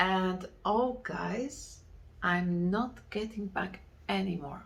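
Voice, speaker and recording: Very slow speech from a woman at a medium pitch, with ordinary pitch variation and audible room echo. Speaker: knitting podcaster. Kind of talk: casual chat. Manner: halting.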